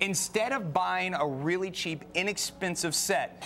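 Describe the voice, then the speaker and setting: A man speaks in a high pitch with ordinary pitch variation. Noticeable background noise runs underneath. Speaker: TV host. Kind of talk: live home shopping TV pitch.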